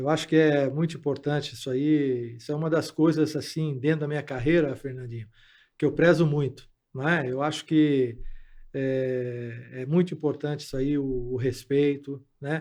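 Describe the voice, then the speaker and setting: Over a quiet background, a man talks at a moderate pace with a fairly high pitch and monotone, flat intonation. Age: 70s. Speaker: football coach. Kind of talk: interview. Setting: studio. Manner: halting.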